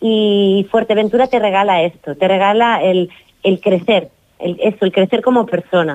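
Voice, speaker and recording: At a medium pitch and very even loudness, a woman speaks in a normal speaking voice. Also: ordinary pitch variation, moderate pace. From Catalonia, Girona. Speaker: author. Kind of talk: radio interview.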